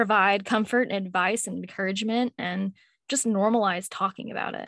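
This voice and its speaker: At a fairly quick pace, a woman speaks in a monotone, flat intonation at a medium pitch, in a very clean recording with a silent background and a dry, close sound with no echo. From Louisville, Kentucky, US. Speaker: mental health podcaster. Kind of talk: casual interview.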